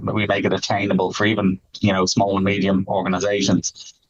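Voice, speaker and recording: This man has an American accent and a fairly low pitch. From Ireland. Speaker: tech company executive. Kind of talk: interview.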